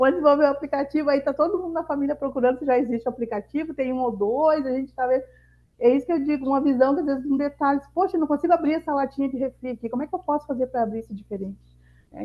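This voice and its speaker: This woman's pitch is high, with ordinary variation. She speaks at a very fast pace. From Rio Grande do Sul interior, southern Brazil. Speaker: mentor and entrepreneur. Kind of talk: masterclass talk.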